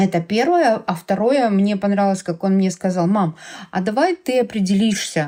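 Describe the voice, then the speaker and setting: At a fairly slow pace, a woman speaks in a dark, mellow tone at a medium pitch with lively intonation. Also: very clean recording, silent background. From Ukraine. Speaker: mother of an LGBT son, parent activist. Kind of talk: podcast conversation.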